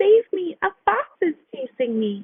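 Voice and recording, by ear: In a put-on character voice, a woman speaks at an extremely high pitch with very wide pitch swings, a fairly slow pace and a dry, close sound with no echo.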